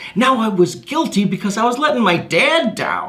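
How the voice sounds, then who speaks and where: A man's high-pitched, raised and projected voice with lively intonation, plus audible room echo and noticeable background noise. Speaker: motivational speaker. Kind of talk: stage presentation. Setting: stage. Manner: high energy.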